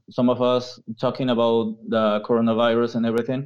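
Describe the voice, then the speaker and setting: A man with a Peruvian accent. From Peru, Lima. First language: Spanish. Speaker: university professor. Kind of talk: casual interview. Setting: video call.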